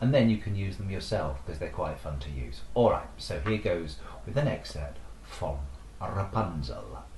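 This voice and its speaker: Over noticeable background noise, a man with a very deep, low pitch speaks at a moderate pace, making very wide pitch swings. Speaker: podcast host, storyteller. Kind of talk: casual talk to camera, explaining to an audience. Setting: online video, talking to camera.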